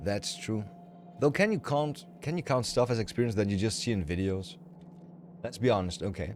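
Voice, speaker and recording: With music playing in the background, a man with a German accent uses lively intonation and leaves long, frequent pauses. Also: fairly low pitch for a man, moderate pace. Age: 30s. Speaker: video game streamer. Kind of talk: casual chat. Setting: live stream. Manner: mumbling.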